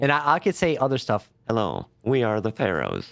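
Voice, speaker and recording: Vocal fry is present in the voice. The pitch rises and falls very widely. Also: man, very clean recording, silent background. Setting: voice changer.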